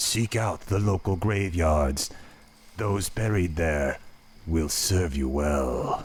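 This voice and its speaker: Very slow, very deep and low-pitched, a put-on character voice from a man. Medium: video game. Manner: servile, hollow.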